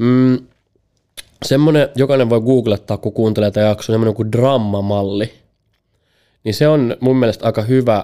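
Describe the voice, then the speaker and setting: A man's dark, mellow tone with fairly even intonation, on a very clean recording with a silent background. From Finland. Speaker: sales executive and speaker. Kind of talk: podcast interview. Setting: studio. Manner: halting, many fillers.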